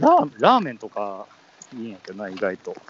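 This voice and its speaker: A man with a Kansai accent at a moderate pace, against noticeable background noise. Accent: Kansai dialect Japanese. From Osaka, Japan. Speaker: podcast co-host. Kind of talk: casual chat. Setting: remote call.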